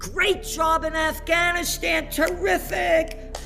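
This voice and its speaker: A man talks in an American accent. Behind him, music is playing. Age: 70s. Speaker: economic commentator. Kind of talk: interview. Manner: animated.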